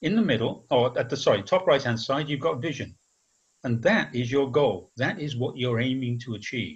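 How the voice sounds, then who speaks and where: A man's somewhat breathy voice with lively intonation over a quiet background. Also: medium pitch for a man, moderate pace. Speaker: agile trainer. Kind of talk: webinar presentation. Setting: video call. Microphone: video call.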